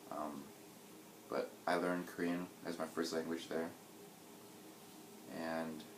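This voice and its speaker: In a General American accent, a man talks at a moderate pace with a very deep, low pitch and flat, monotone intonation, amid audible room echo and noticeable background noise. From US, New York City. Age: 20s. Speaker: interviewee. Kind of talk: interview.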